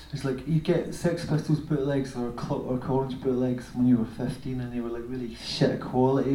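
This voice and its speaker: With noticeable noise in the background, a man at a medium pitch speaks at a moderate pace and fairly even intonation. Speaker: music video director and former musician. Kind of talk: Q&A talk with audience. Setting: stage with audience.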